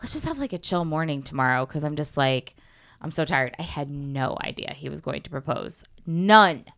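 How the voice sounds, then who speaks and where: With an American accent, a woman speaks at a moderate pace in a very deep, low pitch. Her pitch variation is ordinary, and her loudness swings widely. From Connecticut. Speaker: actress and voiceover artist. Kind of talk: casual chat.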